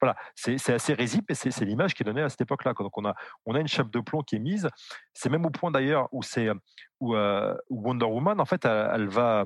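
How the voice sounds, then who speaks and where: Against a quiet background, a man talks at a fairly quick pace with lively intonation, in a dry, close sound with no echo. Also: medium pitch for a man. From France. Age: 40s. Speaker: historian. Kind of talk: interview. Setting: live stream. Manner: halting.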